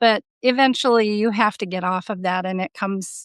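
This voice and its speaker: Here is a woman with an ordinary speaking voice and a fairly high pitch. Her pace is moderate, with ordinary pitch variation. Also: dry, close sound with no echo, quiet background. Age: 60s. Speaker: coaching program client. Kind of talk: testimony.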